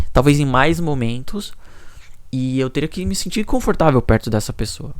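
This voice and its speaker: Soft-spoken, a man talks at a medium pitch and a moderate pace with ordinary pitch variation. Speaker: YouTuber. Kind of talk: personal vlog monologue. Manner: low energy.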